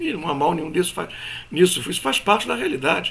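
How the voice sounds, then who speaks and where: A man is speaking here. Room echo is audible around his voice. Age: 60s. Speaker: spiritual teacher. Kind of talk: lecture. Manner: conversational.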